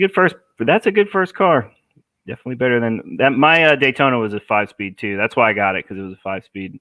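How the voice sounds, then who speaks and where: Very fast speech with very wide pitch swings comes in an American accent. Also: man, medium pitch for a man. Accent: New Jersey, fading. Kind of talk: live stream Q&A. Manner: casual, filler-heavy.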